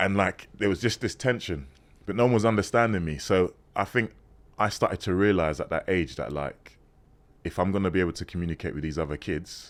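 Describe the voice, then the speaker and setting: A man with a London accent speaks at a fairly quick pace. His pitch is very deep and low, with ordinary variation. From London, England (born in Ghana, moved at 6). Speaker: former model turned priest. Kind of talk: interview conversation. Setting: podcast recording. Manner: casual, hesitant with fillers.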